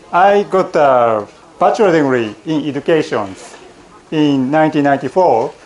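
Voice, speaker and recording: Despite noticeable background noise, a man comes through with lively intonation at a fairly high pitch. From Japan, Miyagi Prefecture. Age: 40s. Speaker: college lecturer. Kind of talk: lecture. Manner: halting, with many fillers.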